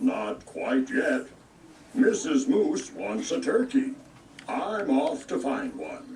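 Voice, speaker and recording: A man's put-on character voice at an extremely high pitch and very slow pace. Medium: read story. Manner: warm, gentle.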